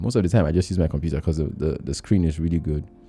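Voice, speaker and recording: Over music in the background, a man speaks with a very deep, low pitch and ordinary pitch variation. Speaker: filmmaker. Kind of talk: tutorial. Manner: fast; casual.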